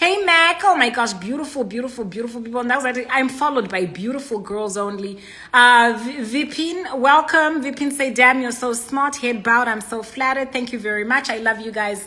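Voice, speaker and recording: The voice has a bright, sharp tone, and the room echo can be heard. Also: woman, high pitch for a woman, ordinary pitch variation, fairly quick pace, hardly any pauses. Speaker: inspirational speaker. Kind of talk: livestream greeting viewers. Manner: loud.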